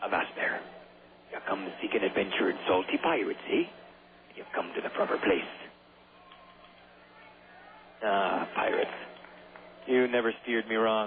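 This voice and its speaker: Putting on a character voice, a man speaks husky and gruff at a moderate pace. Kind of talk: salty pirate talk.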